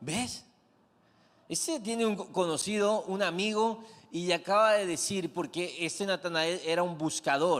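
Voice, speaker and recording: With an animated tone, a man speaks at a high pitch and a fairly slow pace. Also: ordinary pitch variation. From Mexico, Comalcalco, Tabasco. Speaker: pastor. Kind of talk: sermon.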